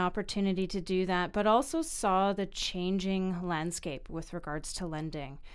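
On a very clean recording with a silent background, a woman in a normal speaking voice with a Canadian accent speaks at a medium pitch and moderate pace, with ordinary pitch variation and hardly any pauses. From Vancouver, Canada. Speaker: mortgage broker. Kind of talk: podcast interview.

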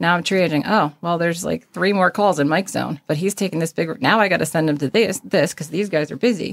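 A woman speaks very fast with a North Jersey accent, her pitch fairly low. The recording is very clean, with a silent background. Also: ordinary pitch variation, hardly any pauses, dry, close sound with no echo. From northern New Jersey. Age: 40s. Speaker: emergency dispatcher. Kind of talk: interview conversation.

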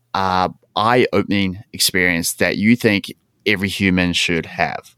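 In a New Zealand accent, a man with a very deep, low pitch and a bright, sharp tone speaks with fairly even intonation, on a very clean recording with a silent background and a dry, close sound with no echo. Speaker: podcast host, personal trainer and gym owner. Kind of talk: casual interview chat; scripted outro.

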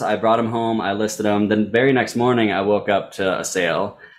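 A man talks at a moderate pace. His is an ordinary speaking voice. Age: 30s. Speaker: sneaker reseller. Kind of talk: interview.

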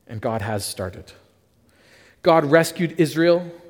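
A man with a Canadian accent, fairly high pitch, vocal fry and very wide pitch swings. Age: 30s. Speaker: pastor. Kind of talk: sermon.

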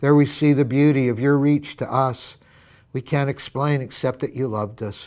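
In a very clean recording with a silent background, a man with an American accent speaks in a warm tone with fairly even intonation. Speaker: pastor. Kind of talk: fervent prayer, led aloud with a devotional tone, speaking to God; devotional sermon-style address with scripture reading. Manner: earnest, heartfelt, warm and reverent; rising intensity, emphatic repetition.

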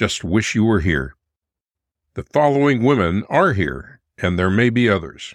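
Speaking at a fairly slow pace, a man with a warm tone and fairly low pitch swings his voice very widely, with vocal fry, in a very clean recording with a silent background. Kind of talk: period letter reading. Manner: formal, measured, warm period-style delivery; earnest, affectionate, steady pacing.

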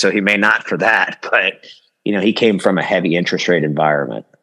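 This man's voice has a bright, sharp tone and vocal fry. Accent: American. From United States. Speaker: mortgage company CEO. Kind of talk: interview conversation.

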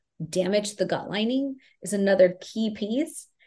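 An American accent with a dark, mellow tone at a fairly slow pace. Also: woman. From US, Houston, Texas. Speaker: Ayurvedic practitioner. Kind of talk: interview.

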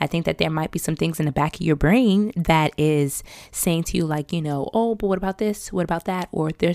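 A woman with an ordinary speaking voice, fairly low pitched, at a fairly quick pace with ordinary pitch variation, in a dry, close sound with no echo and a very clean recording over a silent background. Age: 30s. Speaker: podcast host. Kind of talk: solo reflective monologue.

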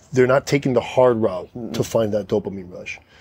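Speaking in an unremarkable speaking voice, a man keeps a medium pitch and ordinary pitch variation. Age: 40s. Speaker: firefighter and gym owner. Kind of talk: casual chat. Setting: in his home.

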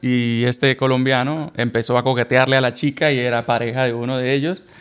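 At a moderate pace, a man talks in a medium pitch. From Colombia. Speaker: podcast co-host. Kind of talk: casual chat. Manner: loud.

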